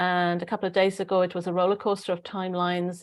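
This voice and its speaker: A woman speaks at a very fast pace with a Welsh accent. Her pitch is fairly low and her intonation is monotone and flat. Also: very clean recording, silent background. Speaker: spiritual channeler, online show host. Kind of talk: casual live-stream chat.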